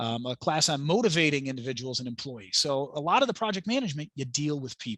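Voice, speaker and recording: An energetic man's fairly high voice, very fast and with hardly any pauses, lively intonation and a dry, close sound with no echo. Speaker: project management instructor and author. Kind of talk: webinar presentation and Q&A.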